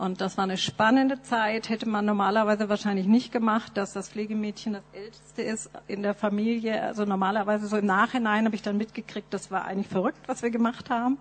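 A woman speaks fairly quickly at a fairly high pitch. Her intonation is monotone and flat. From Nuremberg, Germany. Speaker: missionary. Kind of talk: testimony. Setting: church.

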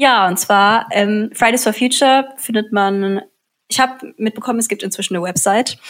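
This woman talks at a moderate pace in a fairly high voice, with ordinary pitch variation. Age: young. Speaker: student activist. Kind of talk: casual interview chat. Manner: halting, many fillers.

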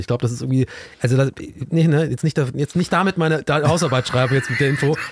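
In an ordinary speaking voice, a man with medium pitch talks with ordinary pitch variation, the sound dry and close with no echo. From southwestern Germany, Tübingen. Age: 30s. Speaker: TV presenter. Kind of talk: casual chat.

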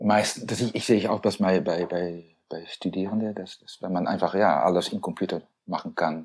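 Hardly any pauses from a man at a fairly low pitch, moderate pace and fairly even intonation. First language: Dutch (speaking German). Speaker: architect, co-founder of an architecture firm. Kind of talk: interview. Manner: halting, many fillers and repetitions.

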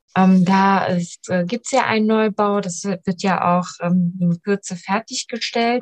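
Very slowly and somewhat breathily, a woman speaks with fairly even intonation in a dry, close sound with no echo. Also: medium pitch for a woman. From Germany, family from Iran. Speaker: local politician, mayoral candidate. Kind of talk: interview.

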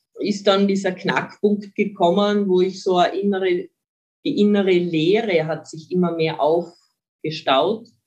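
A woman speaks at a fairly slow pace with long, frequent pauses, using a medium pitch and ordinary pitch variation. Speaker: mental trainer. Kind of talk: interview.

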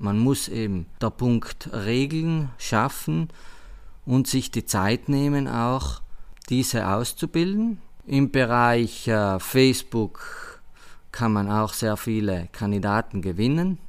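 The speech moves at a very slow pace with lively intonation, recorded very cleanly against a silent background. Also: man, medium pitch for a man. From South Tyrol, Schnals valley. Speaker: head waiter and sommelier. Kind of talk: interview. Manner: halting.

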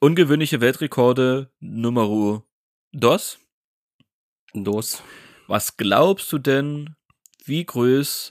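In a very clean recording with a silent background and a dry, close sound with no echo, a man of medium pitch talks at a very slow pace with long, frequent pauses and ordinary pitch variation. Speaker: podcast co-host. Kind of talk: casual chat.

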